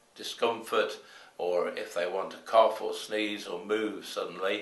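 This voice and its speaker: A man is speaking. His voice carries an audible echo from the room. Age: 70s. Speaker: hospital volunteer. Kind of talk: interview talk.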